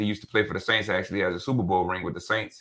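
This man has an American accent. He speaks in a fairly low pitch. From New Orleans. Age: 30s. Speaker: real estate broker and author. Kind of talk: podcast interview. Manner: casual, animated.

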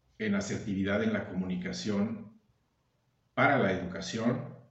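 Audible room echo accompanies a man speaking at a moderate pace. His pitch is fairly low, and his intonation is lively. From Mexico, Veracruz (Agua Dulce). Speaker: actor, director and teacher. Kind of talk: casual chat.

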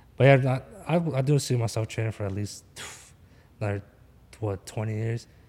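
This man has a Philadelphia accent, a medium pitch with ordinary variation, and a dark, mellow, somewhat breathy tone. He talks at a fairly quick pace, yet leaves long, frequent pauses. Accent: Philadelphia American English. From Philadelphia, US. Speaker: forex trader. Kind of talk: casual chat. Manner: animated.

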